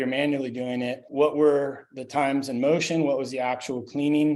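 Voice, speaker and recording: Over noticeable background noise, a man speaks at a fairly quick pace in a fairly high pitch with monotone, flat intonation. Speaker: sanitation consultant. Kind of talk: webinar presentation. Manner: fast.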